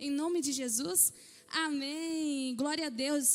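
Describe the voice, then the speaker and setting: A woman's high-pitched voice. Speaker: pastor. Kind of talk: sermon. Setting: church. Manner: soft-spoken. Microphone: mic too quiet.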